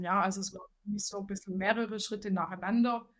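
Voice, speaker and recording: Somewhat breathy, a woman in a Swabian accent speaks at a medium pitch with ordinary pitch variation. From Swabia, southern Germany. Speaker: head of financial accounting. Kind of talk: interview.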